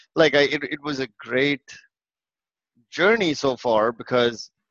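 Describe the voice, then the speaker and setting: This man's voice is at a medium pitch, with ordinary variation in it. The sound is dry and close, without any echo. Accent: Indian. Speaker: engineering leader. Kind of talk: casual chat. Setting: video call.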